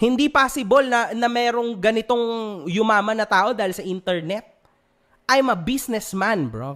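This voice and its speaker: Over a quiet background, a man speaks in an angry tone at a moderate pace, his high-pitched voice showing ordinary pitch variation. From Philippines. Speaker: vlogger and event organizer. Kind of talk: heated rant, callout of another vlogger. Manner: angry, emphatic, cursing. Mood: annoyed, confrontational. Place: home room. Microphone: studio mic.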